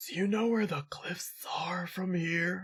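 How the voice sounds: A put-on character voice, raspy and hissing, at middle pitch and a fairly slow pace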